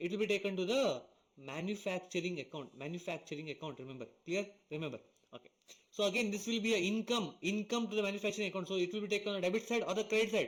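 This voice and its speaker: Talking at a very fast pace, a man has a high pitch. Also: ordinary pitch variation. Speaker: accounting teacher. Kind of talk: lecture. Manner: repetitive, checking in with students.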